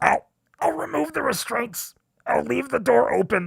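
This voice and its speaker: Putting on a character voice, a man speaks high-pitched at a moderate pace. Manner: pleading.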